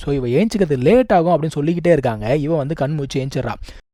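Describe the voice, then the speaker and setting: A man speaks in a dark, mellow tone. His voice is fairly high, and his intonation is lively. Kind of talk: anime episode recap narration. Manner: casual, conversational.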